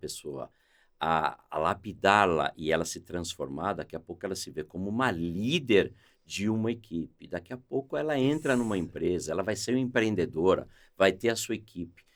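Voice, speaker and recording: Lively intonation in a normal speaking voice, delivered at a moderate pace. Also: man. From Brazil, São Paulo. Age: 60s. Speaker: sales executive. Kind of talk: podcast interview.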